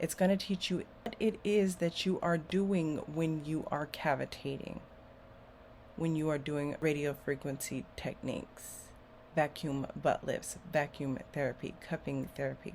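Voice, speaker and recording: A woman talks at a fairly slow pace with a very deep, low pitch. Her pitch variation is ordinary. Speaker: beauty entrepreneur and body sculpting instructor. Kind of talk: casual monologue to camera.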